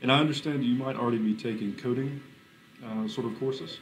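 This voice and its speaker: A medium-pitched man with a North Carolina accent talks at a very fast pace, with music in the background and audible room echo. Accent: Southern US (North Carolina). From US South, North Carolina. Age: 30s. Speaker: cryptographer. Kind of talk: workshop lecture to students. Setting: classroom, live stream.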